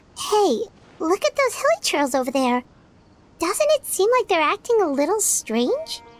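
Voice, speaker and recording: An energetic put-on character voice at an extremely high pitch swings very widely in pitch at a moderate pace. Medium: machinima. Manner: bright, energetic.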